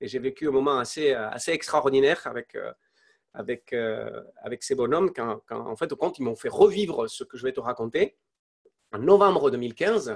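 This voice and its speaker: With big swings in loudness and lively intonation, a man speaks at a moderate pace in a fairly high pitch, the sound dry and close with no echo. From Spain. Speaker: entrepreneur. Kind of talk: interview testimony. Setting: live online interview. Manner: halting, many fillers and repetitions.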